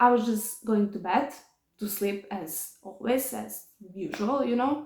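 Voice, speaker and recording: A woman in a Serbian accent speaks with lively intonation and a somewhat breathy voice. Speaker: vlogger. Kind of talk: personal testimony. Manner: halting.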